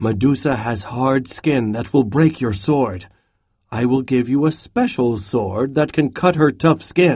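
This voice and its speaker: At a fairly slow pace, a man puts on a character voice at a medium pitch. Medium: read story.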